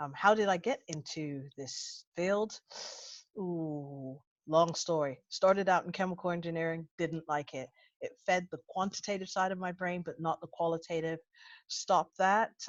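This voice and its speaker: With an American accent, a woman talks at a moderate pace and a fairly low pitch, using ordinary pitch variation, in a dry, close recording with no echo and a quiet background. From United States. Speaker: intelligence analyst. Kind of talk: webinar self-introduction. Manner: animated.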